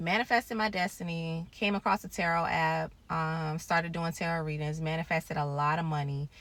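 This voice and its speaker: A woman's very deep, low voice with a bright, sharp tone and ordinary pitch variation. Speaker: YouTuber sharing spiritual journey. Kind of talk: personal testimony. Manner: fast.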